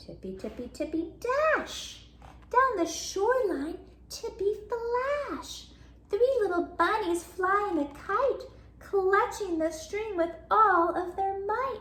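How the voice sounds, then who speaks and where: Using a put-on character voice, a woman speaks at a very slow pace in an extremely high, squeaky pitch. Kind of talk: bedtime story. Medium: read story. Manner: animated, sound effects.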